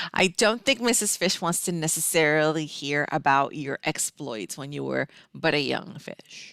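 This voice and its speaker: In a dry, close sound with no echo, a woman speaks at a moderate pace with a very deep, low pitch, vocal fry, lively intonation and big swings in loudness. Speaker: fill-in talk show co-host. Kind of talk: casual pre-show banter.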